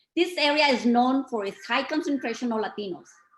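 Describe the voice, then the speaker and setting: Very wide pitch swings mark a woman's speech in a Spanish accent at a moderate pace. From Mexico. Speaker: community speaker. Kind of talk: reading aloud. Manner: formal.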